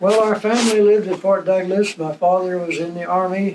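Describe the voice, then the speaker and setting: With a Western US accent, a high-pitched man speaks in a monotone, flat intonation. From Utah. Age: 80s+. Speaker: retired postmaster. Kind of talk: life story interview.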